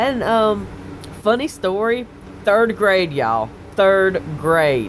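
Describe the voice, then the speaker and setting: Speaking at a very slow pace with a relaxed tone, a woman with a Southern US accent uses a fairly low pitch and very wide pitch swings over noticeable background noise. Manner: relaxed, conversational drawl.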